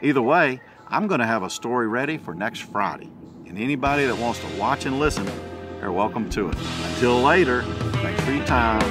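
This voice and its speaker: Clear music plays in the background as a man speaks at a fairly quick pace, the sound dry with no echo. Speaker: vlogger. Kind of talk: casual vlog chat. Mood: relaxed, amused. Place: garden. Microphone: phone near.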